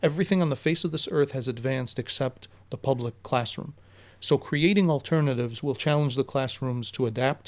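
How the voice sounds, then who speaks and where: At a fairly quick pace, a man speaks with a fairly high pitch and ordinary pitch variation. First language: Arabic. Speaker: teacher. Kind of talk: casual podcast interview.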